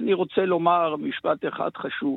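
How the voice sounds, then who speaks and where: Here a man speaks at a high pitch. His pace is fairly slow. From Israel. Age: 60s. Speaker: rabbi, head of pre-military yeshiva. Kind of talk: radio interview.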